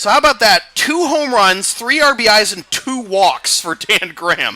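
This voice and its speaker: A man's excited, raised and projected voice, extremely high in pitch, with lively intonation at a moderate pace. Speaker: sportscaster. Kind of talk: baseball play-by-play commentary.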